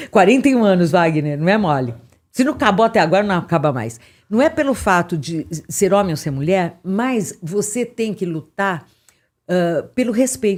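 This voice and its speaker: A woman's animated, medium-pitched voice with very wide pitch swings at a moderate pace, in a very clean recording with a silent background. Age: 60s. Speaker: podcast host. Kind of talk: casual chat.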